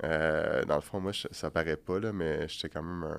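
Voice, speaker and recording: A man with a Quebec accent, very deep and low in pitch, monotone and flat, at a moderate pace. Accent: Québécois French. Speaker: bodybuilder and massage therapist. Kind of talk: podcast interview. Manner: soft-spoken; calm, steady.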